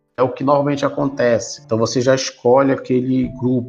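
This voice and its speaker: A man speaks at a moderate pace in a medium, somewhat breathy voice with flat, monotone intonation. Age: 40s. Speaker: production engineer and professor. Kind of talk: interview.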